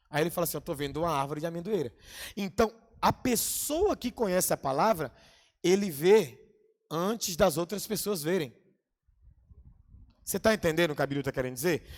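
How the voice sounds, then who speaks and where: A man's high-pitched voice with lively intonation. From Bahia, Brazil. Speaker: pastor and theology teacher. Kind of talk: lecture. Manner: fast; animated.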